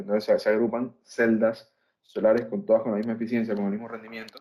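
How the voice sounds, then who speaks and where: Rattling off his words very quickly, a man talks in a medium-pitched voice. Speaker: solar energy instructor. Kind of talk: online lecture. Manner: fast; hesitant fillers.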